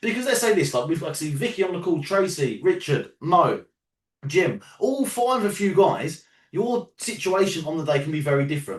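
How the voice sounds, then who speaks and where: In an animated, passionate tone, a man with a high pitch speaks at a moderate pace with lively intonation. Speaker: trading educator. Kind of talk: live online training call.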